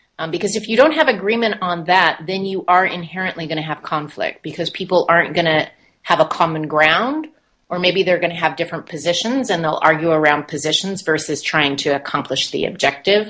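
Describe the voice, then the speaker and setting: A woman's bright, sharp voice, fairly low in pitch, with ordinary pitch variation and a fairly quick pace. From United States. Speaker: meeting facilitator and consultant. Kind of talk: interview.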